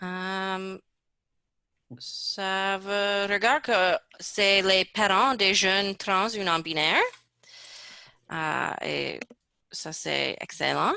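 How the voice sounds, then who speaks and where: In an English accent, a woman with a bright, sharp tone speaks very slowly and fairly evenly, leaving long, frequent pauses. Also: medium pitch for a woman. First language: English (speaking French). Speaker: research project coordinator. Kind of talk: webinar presentation. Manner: halting.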